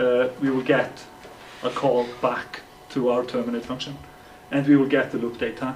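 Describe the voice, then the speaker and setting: Noticeable background noise runs under a man's medium-pitched voice at a moderate pace. He speaks in monotone, flat intonation with long, frequent pauses. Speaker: software developer. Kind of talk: tech talk. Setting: meetup with audience. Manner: halting, many repetitions.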